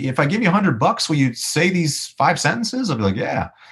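A man talks at a fairly quick pace with vocal fry. His pitch makes very wide swings. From Los Angeles, US. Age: 30s. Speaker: musician and voice actor. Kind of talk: casual interview chat.

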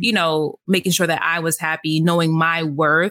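Fairly low in pitch, a woman with a New York accent speaks at a fairly quick pace in a bright, sharp tone. The sound is dry and close, with no echo. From New York, the Bronx. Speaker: podcast host. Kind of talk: casual chat.

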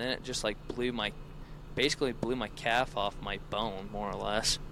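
With an American accent, a man speaks at a moderate pace in an unremarkable speaking voice of medium pitch. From central Utah, US. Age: 20s. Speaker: hunter with hounds. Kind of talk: casual chat.

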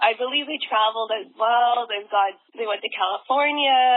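Fairly quick speech in a Western Canadian accent, with ordinary pitch variation. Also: woman. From Vancouver, Canada. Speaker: dancer and dance competition organizer. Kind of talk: casual interview.

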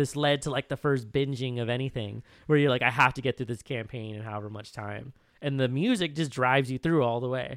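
A man's normal speaking voice at medium pitch, fairly even in intonation and fairly quick in pace, in a very clean recording with a silent background. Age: 30s. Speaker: podcast co-host. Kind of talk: casual chat.

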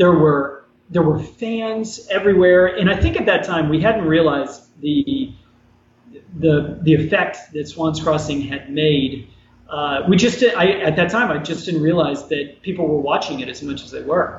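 A man talks with an American accent at a fairly high pitch. Noticeable background noise is present. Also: ordinary pitch variation, fairly slow pace. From New York. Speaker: former TV actor and artist. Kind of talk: interview. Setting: video call.

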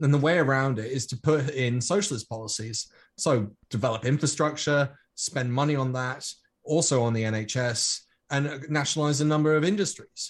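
Somewhat breathy, a man with a British accent speaks at a moderate pace in a fairly high pitch with ordinary variation. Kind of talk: casual panel discussion.

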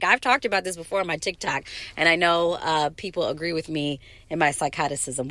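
On a very clean recording with a silent background, a woman speaks at a fairly quick pace in an animated, bright, sharp tone. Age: 40s. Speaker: podcast host. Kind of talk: casual monologue.

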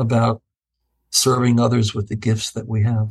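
The speaker is a man with a medium pitch. His voice is somewhat breathy. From Ohio, Cleveland. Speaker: professor and bioethicist. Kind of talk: casual interview.

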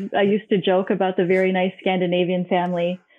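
A medium-pitched woman's voice with an American accent. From Hong Kong, then Minnesota. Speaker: architect. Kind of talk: casual interview. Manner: energetic.

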